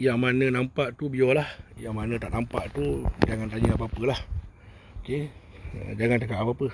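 Amid loud background noise, a man speaks at a moderate pace with ordinary pitch variation and long, frequent pauses, the sound dry with no echo. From Malaysia, Kuala Lumpur (Bandar Tun Razak); Kuala Lumpur, Malaysia. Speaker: spiritual healer. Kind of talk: live stream monologue. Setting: outdoors. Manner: rambling, repetitive. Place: open country. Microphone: initial audio problem; phone near.

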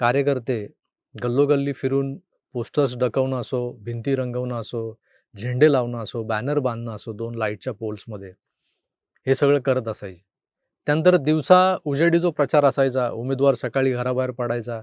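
Heard against a quiet background, a man with a plain, everyday voice speaks at a medium pitch with fairly even intonation. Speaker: political commentator. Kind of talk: political commentary monologue.

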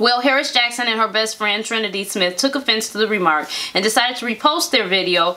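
Speaking at a very fast pace, a woman uses lively intonation. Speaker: show co-host. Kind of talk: reading news story with commentary. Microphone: camera far.

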